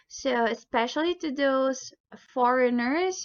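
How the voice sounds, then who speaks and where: Her pitch high, a woman speaks with a Visayan accent. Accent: Bisaya. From Philippines. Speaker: language teacher. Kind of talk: tutorial.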